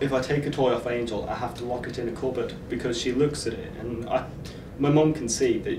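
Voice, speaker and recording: With a Manx accent, a man talks at a fairly quick pace in a monotone, flat intonation over noticeable background noise. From Isle of Man. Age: 20s. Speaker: university student; guide dog owner. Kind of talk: documentary interview. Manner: hesitant with frequent fillers. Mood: warm, fond. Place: studio.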